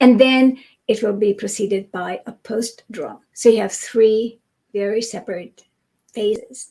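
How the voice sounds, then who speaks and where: Somewhat breathy with a dark, mellow tone, a woman speaks at a fairly slow pace in a fairly high pitch, her intonation fairly even and her loudness swinging widely. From Europe. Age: 60s. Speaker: migraine researcher. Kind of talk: interview.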